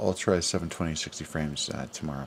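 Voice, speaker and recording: A man speaks quietly. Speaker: livestreamer. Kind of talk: casual livestream chat. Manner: quiet, low.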